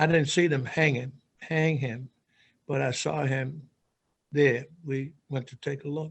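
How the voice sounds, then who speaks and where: A man with an American accent speaks at a moderate pace and a fairly high pitch. His delivery is flat and monotone, and somewhat breathy. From US South, Birmingham, Alabama. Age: 80s+. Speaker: book club participant sharing memories. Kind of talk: personal testimony. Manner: halting, many fillers.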